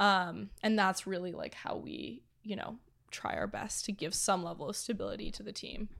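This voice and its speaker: A woman with a Canadian accent, at a moderate pace. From Canada, Toronto. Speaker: production company founder and CEO. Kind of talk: casual interview chat.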